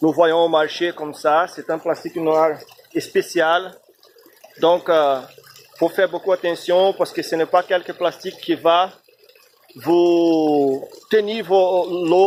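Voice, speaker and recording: This man's voice is high for a man, with a Brazilian accent and fairly even intonation. He talks at a very slow pace, with long, frequent pauses. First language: Portuguese (speaking French). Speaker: amateur aquaponics hobbyist. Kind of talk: video tutorial. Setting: outdoors in his backyard. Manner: halting, many filler sounds and repetitions.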